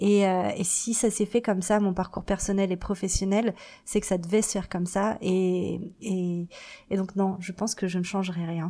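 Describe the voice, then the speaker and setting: Her tone dark and mellow, a woman speaks at a moderate pace with monotone, flat intonation. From Paris, France. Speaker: marketing agency founder. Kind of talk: interview testimony. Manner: hesitant with many fillers.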